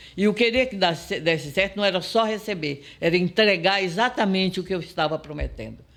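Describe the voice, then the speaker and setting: A man's high voice at a fairly quick pace, hardly any pauses, ordinary pitch variation, and a very clean recording with a silent background. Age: 70s. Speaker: entrepreneur and business mentor. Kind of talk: interview. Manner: animated.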